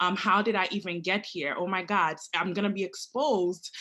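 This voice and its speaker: A woman talks with a Haitian accent. Her pace is moderate. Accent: Haitian Creole-tinged English. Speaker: prosecutor. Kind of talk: panel discussion.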